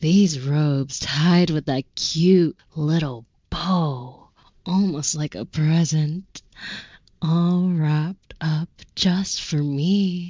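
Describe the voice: A woman's put-on character voice, very deep and low in pitch, at a very slow pace.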